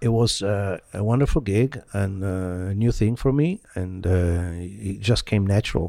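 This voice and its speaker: This man talks at a fairly slow pace in a fairly low pitch, his tone dark and mellow with ordinary pitch variation. The recording is very clean, its background silent. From Italy, Milan. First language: Italian. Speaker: violinist. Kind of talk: interview.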